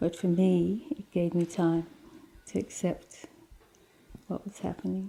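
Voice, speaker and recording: A woman speaks fairly slowly in a somewhat breathy voice with fairly even intonation. Her pauses are long and frequent. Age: 60s. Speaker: cancer patient. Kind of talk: interview testimony.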